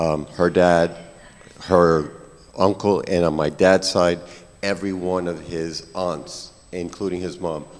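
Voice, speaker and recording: A man with an American accent speaks at a very deep, low pitch with monotone, flat intonation. Long, frequent pauses break up his speech against noticeable background noise. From New York. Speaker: physician, conference speaker. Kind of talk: panel discussion.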